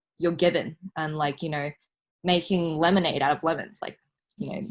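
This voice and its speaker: Her pitch is fairly low, with ordinary variation. The woman talks at a moderate pace. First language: not Mandarin. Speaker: scholarship recipient, law student. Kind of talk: casual podcast interview. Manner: hesitant, many fillers.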